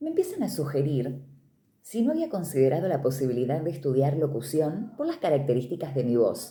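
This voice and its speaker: A woman speaks in a very deep, low voice that is somewhat breathy, with a dark, mellow tone. Room echo can be heard around her. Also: lively intonation. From Argentina, Córdoba province (Río Cuarto). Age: 40s. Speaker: radio announcer and literature teacher. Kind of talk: interview testimony. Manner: clear, practiced announcer delivery.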